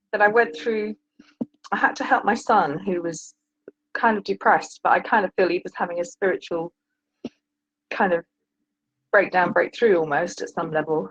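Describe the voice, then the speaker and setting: A woman with a medium-pitched voice and lively intonation speaks at a moderate pace, leaving long, frequent pauses, in a dry, close sound with no echo. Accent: British. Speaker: caller, retired teacher and author. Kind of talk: call-in advice conversation. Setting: call-in to live stream show. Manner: halting, many fillers.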